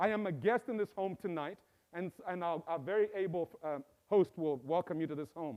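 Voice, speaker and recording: A man's high-pitched voice with ordinary pitch variation at a moderate pace. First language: Bemba. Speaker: professor. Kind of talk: inaugural speech. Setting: stage with live audience and Zoom.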